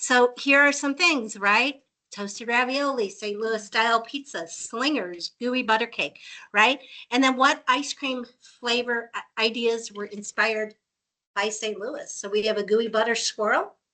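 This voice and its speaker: A woman's bright, sharp tone at a fairly slow pace, with ordinary pitch variation. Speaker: presenter of a tech webinar. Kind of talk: software demo.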